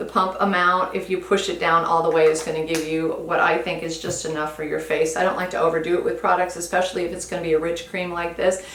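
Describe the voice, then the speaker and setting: Noticeable noise and audible echo fill the room. Within it, a woman talks at a medium pitch. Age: 60s. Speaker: beauty vlogger. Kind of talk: product review. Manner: casual, conversational.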